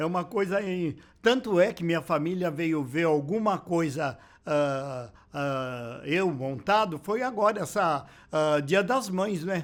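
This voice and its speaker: A high-pitched man speaks at a very slow pace with lively intonation. The recording is very clean and the background silent. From Brazil, São Paulo. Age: 70s. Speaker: drag performer. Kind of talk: interview testimony.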